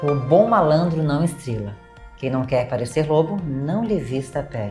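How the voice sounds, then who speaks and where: A woman's very deep, low voice at a moderate pace, lively in intonation, with music in the background. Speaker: mental health mentor and speaker. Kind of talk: channel intro to camera.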